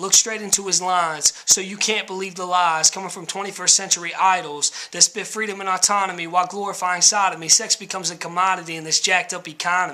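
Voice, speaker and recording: A man talks in a raised, projected voice, high-pitched for a male, at a very fast clip with hardly any pauses, his intonation flat and monotone while his loudness swings widely over noticeable background noise. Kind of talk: spoken word poetry.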